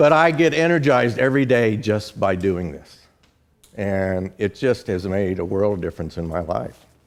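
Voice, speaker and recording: A man with a fairly low pitch talks at a moderate pace. His voice makes very wide pitch swings. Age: 70s. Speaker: business owner giving a talk. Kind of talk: presentation to a live audience with Q&A.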